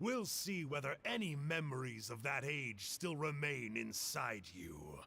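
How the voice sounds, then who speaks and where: The man uses a put-on character voice at a medium pitch. He goes at a fairly slow pace. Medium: video game.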